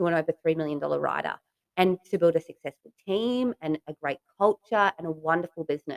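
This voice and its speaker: A woman with an Australian accent speaks at a fairly low pitch and a fairly quick pace. The sound is dry and close, with no echo. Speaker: podcast host and real estate agent. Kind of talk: interview.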